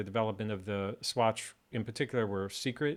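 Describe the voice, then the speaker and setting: A man speaking at a fairly quick pace. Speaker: watchmaker YouTuber. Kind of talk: casual video update walkthrough. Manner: flat, bored-sounding; hesitant with fillers.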